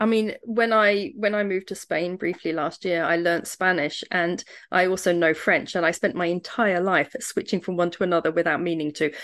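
With a British accent, a woman speaks at a moderate pace and medium pitch, using ordinary pitch variation and hardly any pauses against a quiet background. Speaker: podcast host and home educator. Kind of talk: casual interview.

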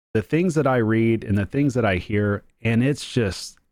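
On a very clean recording with a silent background, a man speaks at a medium pitch and moderate pace. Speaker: podcast host. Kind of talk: casual solo podcast talk. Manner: casual, off the cuff, excitable.

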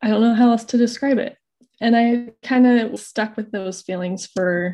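A woman with an American accent speaks at a fairly slow pace in a dark, mellow tone. Her voice is somewhat breathy, with ordinary pitch variation. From Idaho. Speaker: mother sharing birth stories. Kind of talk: interview testimony.

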